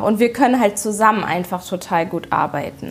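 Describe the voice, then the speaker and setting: The woman's delivery is moderately paced, her pitch moving in an ordinary way. Background noise is noticeable throughout. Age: 30s. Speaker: homeowner and beautician. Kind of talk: casual interview at home. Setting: at her home. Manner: hesitant, many fillers.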